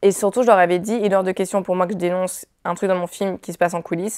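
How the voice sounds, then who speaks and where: Over a quiet background, a woman speaks fairly quickly at medium pitch in a flat monotone. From France. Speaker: film director. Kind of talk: interview. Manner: halting. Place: studio. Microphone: lapel.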